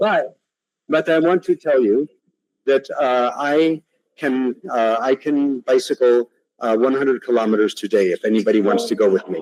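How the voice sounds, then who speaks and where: A man's medium-pitched voice, an unremarkable speaking voice, with lively intonation at a moderate pace and a dry, close sound with no echo. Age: 60s. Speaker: invited lecturer, technology researcher. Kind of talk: audience Q&A; lecture.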